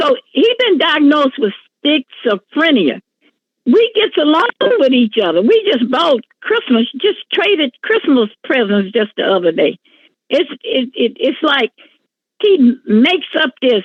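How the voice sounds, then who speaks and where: A woman with very wide pitch swings and very even loudness. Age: 70s. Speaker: defendant in small claims court. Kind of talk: courtroom testimony. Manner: halting, repetitive.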